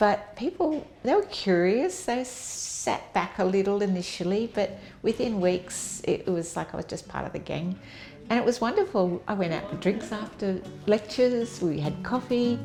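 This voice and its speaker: Noticeable background noise runs under a woman's medium-pitched voice. She speaks at a moderate pace with ordinary pitch variation. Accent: Australian. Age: 70s. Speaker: nurse. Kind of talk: interview. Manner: casual and hesitant with fillers.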